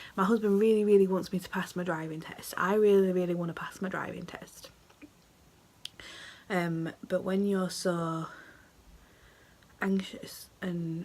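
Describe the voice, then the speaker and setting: Monotone, flat intonation comes at a moderate pace in a British accent. Noticeable background noise is present. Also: woman. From United Kingdom. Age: 20s. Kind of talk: casual talk to camera.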